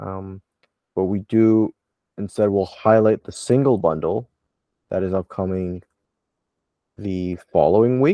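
A man with a fairly low pitch and a dark, mellow tone talks at a fairly slow pace with ordinary pitch variation and long, frequent pauses, heard in a dry, close sound with no echo over a quiet background. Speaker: podcast host. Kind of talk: casual podcast chat. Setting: recording from Toronto.

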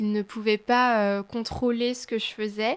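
Speaking at a fairly slow pace with fairly even intonation, a woman with a plain, everyday voice and a fairly high pitch comes through in a very clean recording with a silent background. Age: 20s. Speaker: student and awareness campaigner on abusive relationships. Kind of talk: testimony.

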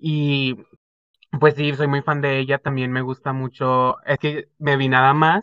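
Speaking very slowly, a man keeps a monotone, flat intonation. The sound is dry and close with no echo. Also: fairly high pitch for a man. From Zapopan, Guadalajara, Jalisco, Mexico. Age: 20s. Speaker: podcast co-host, marketing student. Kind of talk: casual chat.

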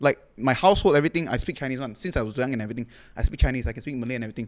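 This man has a fairly high pitch and an animated tone. He talks at a very fast pace. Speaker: content creator and comedian. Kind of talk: casual chat.

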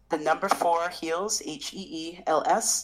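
In an American accent, a woman with a fairly low pitch speaks at a very slow pace. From military bases: Japan, Portugal, US states. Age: 30s. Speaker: chef and food business owner. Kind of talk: casual interview. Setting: remote call.

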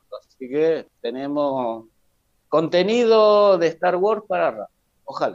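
A man's high voice with lively intonation and big swings in loudness, delivered at a very slow pace. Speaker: podcast co-host. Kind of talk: casual chat.

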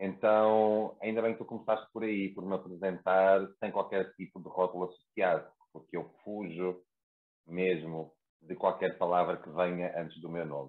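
A man's very deep, low voice with fairly even intonation and big swings in loudness. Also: moderate pace. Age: 30s. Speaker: therapist. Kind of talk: casual chat.

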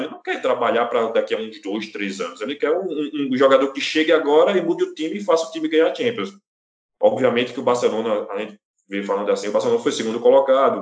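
Talking at a very fast pace, a man with a fairly high pitch uses very wide pitch swings and some vocal fry. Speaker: sports podcast co-host. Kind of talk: casual chat.

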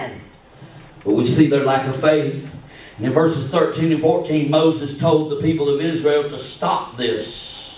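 With an animated tone and big swings in loudness, a man speaks at a moderate pace in a fairly high pitch amid noticeable background noise. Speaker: pastor. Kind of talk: sermon; fervent preaching in full flow, rallying the congregation. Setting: church. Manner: animated, call-and-response preaching; rising, emphatic, urgent delivery with repeated phrases.

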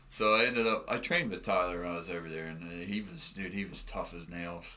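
With an American accent, a man speaks at a moderate pace in a very deep, low pitch. His tone is bright and sharp, and audible room echo fills the recording. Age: 30s. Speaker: mixed martial arts fighter. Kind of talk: casual chat. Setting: studio.

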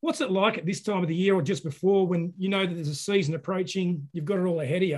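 Talking at a very fast pace, a man with an Australian accent has a high pitch. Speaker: podcast host, fly fishing. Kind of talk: casual interview. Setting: video call.

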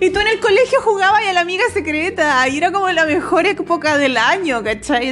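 A woman with a Chilean accent talks at a fairly quick pace, her pitch swinging very widely. Noticeable background noise can be heard. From Chile, Rancagua. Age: 30s. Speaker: podcaster. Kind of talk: casual monologue. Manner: casual, slangy.

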